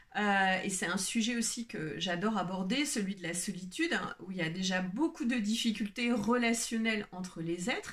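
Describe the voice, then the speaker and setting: Hardly pausing, a woman speaks at medium pitch with ordinary pitch variation. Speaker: wellbeing coach and video creator. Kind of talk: unscripted solo video talk. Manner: slow; hesitant, many fillers.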